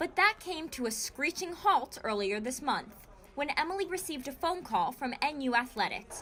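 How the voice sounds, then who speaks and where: Over noticeable background noise, a high-pitched woman uses a raised, projected voice at a moderate pace with very wide pitch swings. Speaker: student news reporter. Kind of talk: TV news report.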